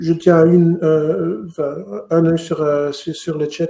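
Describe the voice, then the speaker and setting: A man speaks with a Flemish accent. His fairly high voice stays monotone and flat. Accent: Dutch-speaking (Flemish) accent in French. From Flanders, Belgium (Mechelen area). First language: Dutch (speaking French). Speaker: lawyer. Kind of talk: webinar lecture. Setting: online webinar, screen share. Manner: halting, with repetitions.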